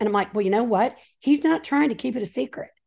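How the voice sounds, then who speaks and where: Fairly quick speech from a woman, somewhat breathy, with a dark, mellow tone and very wide pitch swings. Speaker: author and Bible teacher. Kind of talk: casual interview chat.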